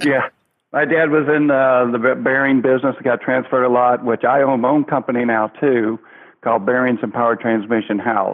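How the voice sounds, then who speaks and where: At a fairly quick pace, a man with a Southern US accent speaks at a medium pitch with fairly even intonation and very even loudness. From US South. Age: 60s. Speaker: children's entertainer in pirate costume. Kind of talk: interview.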